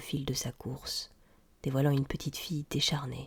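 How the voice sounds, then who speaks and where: A woman's very deep, low voice, somewhat breathy, in a very clean recording with a silent background. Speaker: audiobook reader. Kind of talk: tale reading, audiobook narration.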